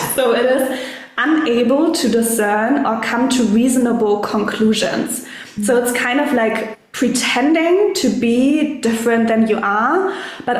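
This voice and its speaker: With a German accent and a high pitch, a woman talks at a fairly slow pace and very even loudness, with audible room echo and noticeable background noise. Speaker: coach and spiritual mentor. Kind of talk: casual chat.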